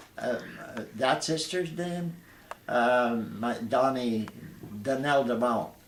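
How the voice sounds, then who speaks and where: In a room with audible echo and noticeable background noise, a man talks at a very slow pace with long, frequent pauses, a medium pitch and ordinary pitch variation. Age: 80s+. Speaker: retired air force veteran. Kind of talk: interview. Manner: halting.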